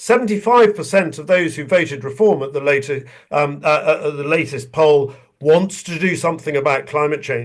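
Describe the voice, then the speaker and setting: Speaking with a southern English accent, a man uses a fairly high pitch, ordinary pitch variation and a moderate pace. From England. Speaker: retired army general. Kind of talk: webinar talk.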